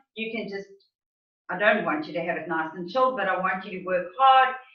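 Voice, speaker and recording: A woman speaks with lively intonation, and the room echo is audible. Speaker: fitness instructor. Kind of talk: tutorial. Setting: video call.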